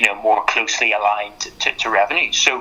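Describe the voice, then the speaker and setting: With noticeable background noise, a man speaks in a Northern Irish accent. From Northern Ireland. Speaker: sports lawyer. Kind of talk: podcast interview. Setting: podcast. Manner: halting, many repetitions.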